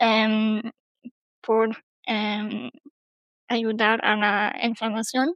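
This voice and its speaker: A woman with a fairly high pitch talks at a very slow pace. Her intonation stays monotone and flat, broken by long, frequent pauses. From Germany. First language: German (speaking Spanish). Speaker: PhD student. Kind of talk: casual chat. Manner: halting, many fillers.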